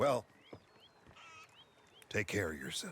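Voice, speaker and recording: A man puts on a character voice. It comes out raspy. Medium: video game.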